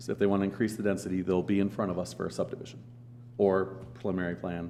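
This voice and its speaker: A man speaks at a fairly low pitch in a dark, mellow tone with vocal fry. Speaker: county planning staff member. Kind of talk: public meeting presentation. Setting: county commissioners meeting room. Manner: loud.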